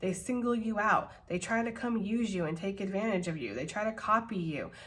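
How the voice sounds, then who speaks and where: In a room with audible echo, a woman talks at a medium pitch with ordinary pitch variation. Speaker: tarot reader. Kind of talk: tarot reading. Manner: casual, animated.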